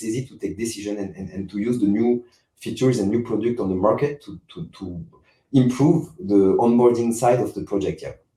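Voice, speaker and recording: A man with a French accent speaks at a moderate pace, his medium-pitched voice dark, mellow and somewhat breathy. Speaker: game company CEO. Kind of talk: interview. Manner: halting, many repetitions and fillers.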